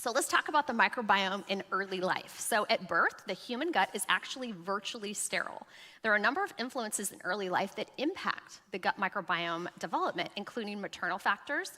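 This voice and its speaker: A woman talks at a fairly quick pace with hardly any pauses, her pitch medium and her intonation lively. Her tone is bright and sharp. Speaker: health speaker. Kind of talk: talk to women's group. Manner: fast.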